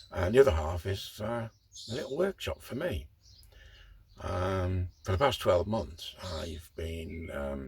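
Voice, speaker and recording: A man with an English accent and a very deep, low pitch, somewhat breathy, at a fairly slow pace with long, frequent pauses and big swings in loudness. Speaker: model railway hobbyist. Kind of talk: casual vlog monologue. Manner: hesitant, many fillers.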